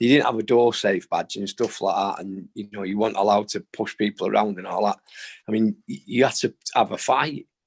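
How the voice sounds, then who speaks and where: Heard with a dry, close sound and no echo, a man with a Manchester accent talks at a fairly quick pace, his fairly low pitch showing ordinary variation. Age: 60s. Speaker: boxing trainer. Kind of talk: interview. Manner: casual, uses fillers.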